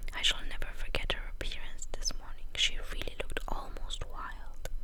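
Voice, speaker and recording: A soft-spoken woman whispers in a calm tone against noticeable background noise. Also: moderate pace. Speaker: ASMR content creator. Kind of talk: whispered audiobook-style reading. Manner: whispered, soft, calm.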